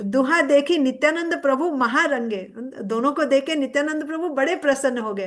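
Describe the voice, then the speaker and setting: Against a quiet background, a woman talks in a high pitch. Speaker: religious speaker. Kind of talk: scripture discourse. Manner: halting, with fillers.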